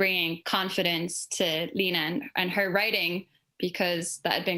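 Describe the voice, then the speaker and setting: With an Irish accent, a woman talks at a moderate pace in a fairly low pitch, her tone bright and sharp. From Ireland. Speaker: creative in advertising. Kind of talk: panel discussion.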